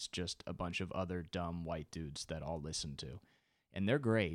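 A man's very deep, low voice at a moderate pace, with ordinary pitch variation, on a very clean recording with a silent background. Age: 20s. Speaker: podcaster and comedian. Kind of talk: solo comedy podcast monologue, casual. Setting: home recording, solo. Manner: self-deprecating, rambling, casual.

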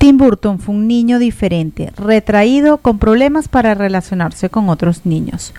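Over noticeable background noise, a woman with a medium pitch talks at a moderate pace with hardly any pauses. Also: lively intonation. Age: 40s. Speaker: radio host. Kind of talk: scripted narration.

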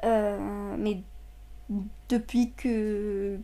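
A woman talks in a monotone with flat intonation. Her tone is dark and mellow, and her pitch is fairly high. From Saudi Arabia. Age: 20s. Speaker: psychology student. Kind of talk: personal testimony. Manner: halting.

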